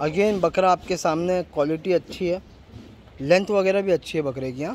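A man at a moderate pace, high-pitched, with ordinary pitch variation and a slightly mellow tone

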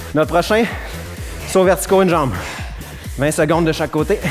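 A man talks at a fairly quick pace with fairly even intonation. Faint music plays in the background. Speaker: fitness trainer. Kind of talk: workout instruction. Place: gym. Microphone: headset.

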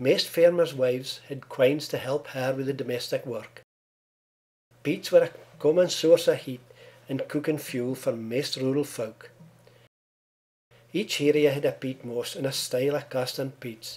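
A man with an Aberdeenshire accent, fairly high-pitched for a man, at a fairly slow pace with long, frequent pauses and fairly even intonation. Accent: Doric Scots, Aberdeenshire. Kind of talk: documentary trailer narration.

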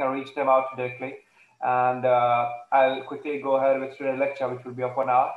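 Against audible room echo, a man talks at a fairly quick pace. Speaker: online course lecturer. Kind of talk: lecture introduction. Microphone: video call.

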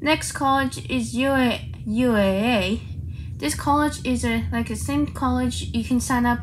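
A woman's voice with light background noise. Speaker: vlogger. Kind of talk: casual vlog chat. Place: home room. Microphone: phone near.

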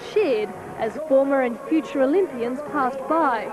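Over noticeable background noise, a woman with an Australian accent talks at a fairly slow pace, her high pitch carrying lively intonation. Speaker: TV news reporter. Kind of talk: packaged news report narration. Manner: polished, evocative voiceover with ceremonial tone.

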